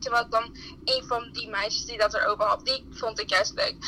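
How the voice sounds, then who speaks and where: A woman projects her voice, talking at a fairly quick pace. Noticeable background noise sits behind her. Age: 20s. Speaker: student. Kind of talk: interview.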